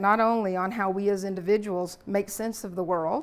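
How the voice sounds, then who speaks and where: A woman with a Southern US accent talks at a fairly quick pace. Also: very clean recording, silent background. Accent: Southern US (Alabama), noticeable. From US South, Alabama. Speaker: lecturer. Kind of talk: lecture. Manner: relaxed, frequent fillers.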